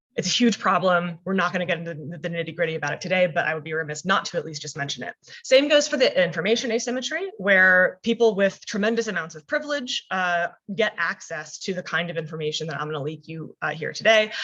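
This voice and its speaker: A woman's fairly low voice at a very fast pace, with lively intonation, hardly any pauses and big swings in loudness. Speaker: career coach. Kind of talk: webinar presentation.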